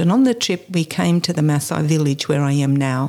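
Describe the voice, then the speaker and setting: In an Australian accent, a woman with a dark, mellow tone and fairly low pitch speaks at a moderate pace with ordinary pitch variation. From Australia, New South Wales. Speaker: charity founder. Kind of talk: interview.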